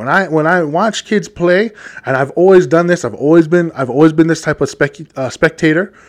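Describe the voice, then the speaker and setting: Speaking at a moderate pace, a man with a high pitch sounds animated. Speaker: podcast host. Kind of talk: solo monologue podcast. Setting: studio microphone. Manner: loud.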